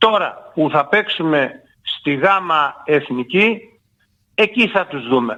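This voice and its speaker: A man's intonation rises and falls in a lively way as he talks at a fairly slow speed. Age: 70s. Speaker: former football club president and player. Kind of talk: radio interview.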